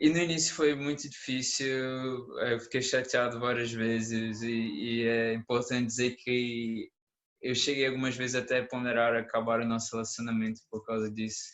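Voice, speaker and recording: Keeping a fairly even intonation, a man speaks at medium pitch and a moderate pace. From Brazil. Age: 20s. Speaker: conference speaker, engineering student. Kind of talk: conference talk as a couple. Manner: calm.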